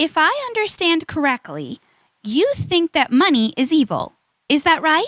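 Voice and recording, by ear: A woman's put-on character voice, high-pitched with big pitch swings, at a fairly slow pace, fairly bright in tone, in a dry, close sound with no echo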